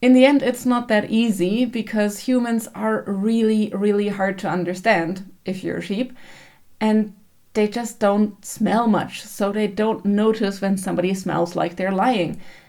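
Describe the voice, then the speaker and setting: A woman with a German accent, medium pitch, dark, mellow tone, fairly even intonation, and fairly slow pace. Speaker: book vlogger. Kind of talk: casual book review.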